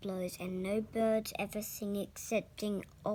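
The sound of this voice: An unforced reading voice carries fairly even intonation.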